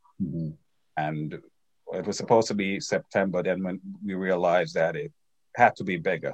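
A man's very deep, low voice with lively intonation, a fairly quick pace and long, frequent pauses. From Jamaica. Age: 60s. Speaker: alumni association president. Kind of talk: interview.

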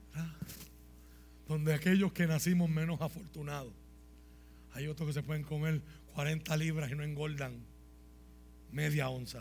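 A man speaks in an animated, dramatic tone with a fairly high, somewhat breathy voice. He leaves long, frequent pauses. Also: moderate pace. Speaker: pastor. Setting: church with congregation. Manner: animated, fervent, emphatic with dramatic storytelling and humor.

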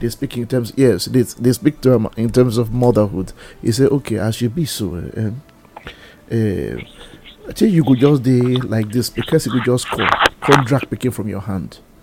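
Moderate pace against noticeable background noise. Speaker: talk show panelist. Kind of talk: radio-style panel discussion.

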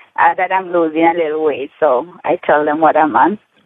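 Here a woman speaks in a Jamaican accent. Her pace is moderate. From Jamaica, Negril, Hanover. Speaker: caller giving product testimonial. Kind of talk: testimony.

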